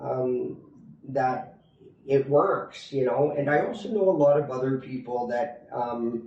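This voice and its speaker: A man with a Canadian accent at a fairly slow pace, amid noticeable background noise and audible room echo. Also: medium pitch for a man, ordinary pitch variation. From Canada. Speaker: expat interviewee. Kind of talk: interview. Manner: halting, many fillers.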